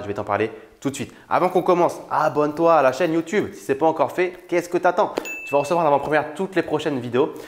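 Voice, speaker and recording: A man at a very fast pace with ordinary pitch variation, in a very clean recording with a silent background. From France. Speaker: YouTuber, online entrepreneur. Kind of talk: casual vlog talk to camera. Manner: casual, with many fillers and hesitations.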